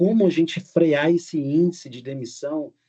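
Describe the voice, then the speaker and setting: His voice has a dark, mellow tone. A man speaks at a fairly high pitch. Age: 60s. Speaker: business speaker. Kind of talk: webinar talk. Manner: halting.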